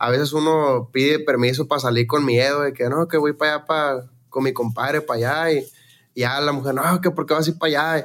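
In a very clean recording with a silent background, a man with a fairly high voice speaks at a fairly quick pace with fairly even intonation, very even loudness and hardly any pauses. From Mexico, Sinaloa (Los Mochis). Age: young. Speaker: regional Mexican singer. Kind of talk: casual chat. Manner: halting.

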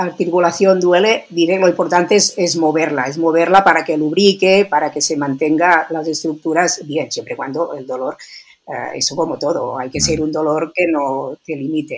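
A woman's fairly low-pitched voice, an ordinary speaking voice, moderate in pace and with ordinary pitch variation. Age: 60s. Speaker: biologist and sports nutrition expert. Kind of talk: interview.

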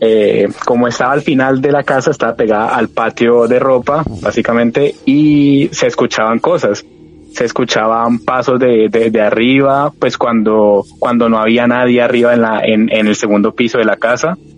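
Music plays in the background as a man speaks at a medium pitch. His intonation is fairly even, and he leaves hardly any pauses. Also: moderate pace. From Cali, Colombia. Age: 20s. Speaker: storyteller sharing paranormal experience. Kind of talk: personal testimony. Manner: halting.

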